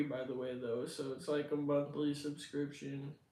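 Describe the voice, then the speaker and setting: There is audible room echo around a man speaking with an American accent. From Washington State, US. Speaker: livestreamer, content creator. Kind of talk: casual livestream chat.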